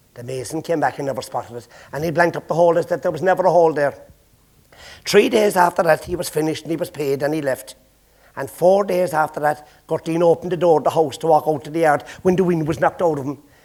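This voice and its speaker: At a very fast pace, someone with a Cork accent speaks with ordinary pitch variation. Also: man, fairly high pitch for a man. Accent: Irish, Cork. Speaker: storyteller. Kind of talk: traditional storytelling to a live audience. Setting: stage with audience.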